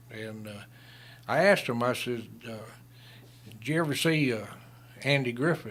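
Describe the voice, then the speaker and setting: With a strong Southern US accent, a man speaks at a fairly slow pace with ordinary pitch variation and audible room echo. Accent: strong Southern American. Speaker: retired lawman and Vietnam veteran. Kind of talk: radio interview storytelling. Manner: halting, many fillers.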